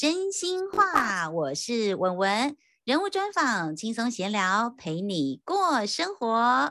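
Upbeat and cheerful, a woman talks with a bright, sharp tone, a fairly high pitch and very wide pitch swings. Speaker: podcast host. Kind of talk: casual interview. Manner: upbeat, cheerful.

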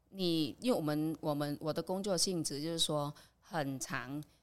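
A woman's very deep, low voice in a Vietnamese accent, at a fairly slow pace. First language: Vietnamese (speaking Chinese). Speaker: immigrant worker. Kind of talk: casual chat.

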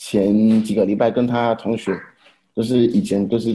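Dark, mellow tone from a man speaking at medium pitch. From Haiti. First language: French (speaking Chinese). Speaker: immigrant husband and father. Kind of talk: casual chat. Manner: halting.

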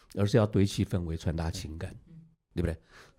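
In a very clean recording with a silent background, a man speaks with a dark, mellow tone that is somewhat breathy. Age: old. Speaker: veteran TV director. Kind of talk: casual chat.

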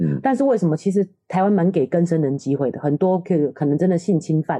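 Heard in a dry, close sound with no echo, a woman with a dark, mellow tone talks at a very fast pace. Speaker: nutritionist and parenting podcast co-host. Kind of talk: casual chat.

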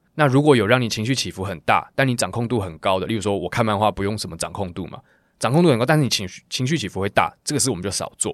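A man talks at a very fast pace, with big swings in loudness. The recording is very clean, with a silent background. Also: medium pitch for a man, lively intonation. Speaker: singer. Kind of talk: interview, casual chat. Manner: animated, casual.

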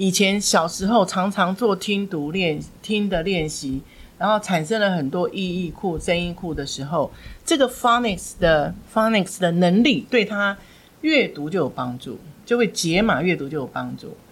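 A woman talks in a plain, everyday voice at medium pitch. Her intonation is lively and her pace moderate. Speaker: former school principal and English education director. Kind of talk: interview on parenting and English learning.

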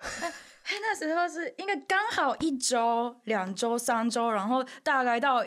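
In a Japanese accent, a woman speaks at a very slow pace with hardly any pauses. Her high pitch swings very widely. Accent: Japanese accent in Mandarin. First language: Japanese (speaking Chinese). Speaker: YouTuber. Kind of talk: casual chat. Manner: halting.

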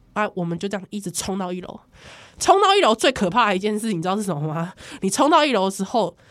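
With a Taiwanese accent, a woman speaks in an animated tone at a medium pitch, showing ordinary pitch variation. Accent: Taiwanese Mandarin. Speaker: podcast host. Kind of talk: casual chat.

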